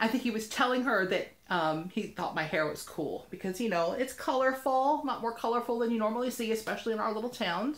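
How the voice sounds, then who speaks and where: Speaking at a fairly quick pace with hardly any pauses, a woman sounds animated, with lively intonation and a fairly high pitch amid audible room echo. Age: 40s. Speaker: vlogger. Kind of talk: casual vlog storytelling. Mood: upbeat, warm. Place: home room. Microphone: webcam.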